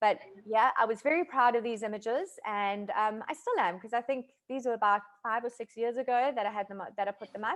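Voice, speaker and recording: A woman speaks with a South African accent at a fairly high pitch. Her pace is moderate and her pitch variation ordinary. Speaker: food photographer. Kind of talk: online masterclass talk. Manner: casual, hesitant with many fillers.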